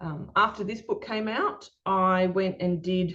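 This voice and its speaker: A woman with an Australian accent speaks at a medium pitch in a somewhat breathy voice, her intonation fairly even against a quiet background. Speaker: children's book author and illustrator. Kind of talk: presentation talk. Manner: hesitant, many fillers.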